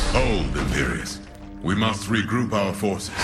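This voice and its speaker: Over loud background music, a man does a cartoonish character voice, pitched fairly low and delivered at a moderate pace. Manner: measured, solemn.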